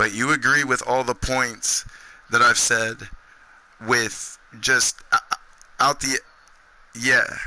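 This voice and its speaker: A man talks at a very slow pace, breaking his speech with long, frequent pauses. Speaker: gaming streamer. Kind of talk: live stream chat. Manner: animated.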